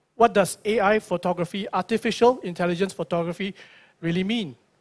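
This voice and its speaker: Speaking at a moderate pace, a man with a Singaporean accent has a high pitch and ordinary pitch variation. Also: dry, close sound with no echo, very clean recording, silent background. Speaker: tech company product presenter. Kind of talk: product launch presentation. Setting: stage with audience at launch event.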